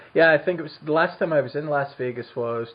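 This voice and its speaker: A man speaks with a Scottish accent. His pitch varies in an ordinary way. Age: 30s. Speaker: podcast host. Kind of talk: interview. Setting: remote call.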